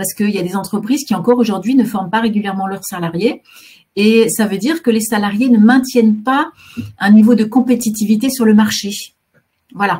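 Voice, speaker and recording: Long, frequent pauses break up a woman's fairly quick speech, fairly high in pitch with ordinary pitch variation. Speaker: career guidance counsellor. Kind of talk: webinar presentation. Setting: online webinar. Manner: fast; hesitant, many fillers.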